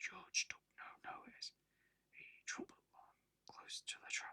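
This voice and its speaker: A man whispers at a very slow pace, the sound dry and close with no echo. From UK. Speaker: ASMR artist. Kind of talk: ASMR whispered story reading. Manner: whispered, soft-spoken.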